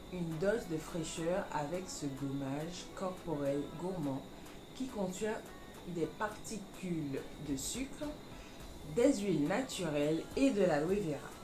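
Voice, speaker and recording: Over music in the background, a woman with a medium pitch speaks very slowly with lively intonation. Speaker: beauty vlogger. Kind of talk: casual product review to camera.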